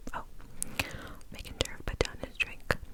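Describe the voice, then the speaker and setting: Whispering in a gentle tone comes through noticeable background noise. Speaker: ASMR creator. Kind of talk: ASMR horror story narration. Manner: soft whispers, gentle.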